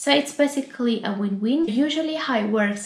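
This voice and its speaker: A woman speaks with an Italian accent. Audible room echo and noticeable background noise surround her voice. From Italy. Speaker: YouTuber and UX designer. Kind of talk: casual vlog talk to camera. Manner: hesitant, many fillers.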